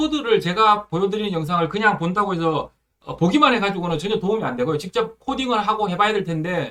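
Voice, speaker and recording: A man talks in a raised, projected voice. His intonation is lively and his pace very fast. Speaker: programming instructor. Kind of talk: tutorial. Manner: many filler words, hesitant.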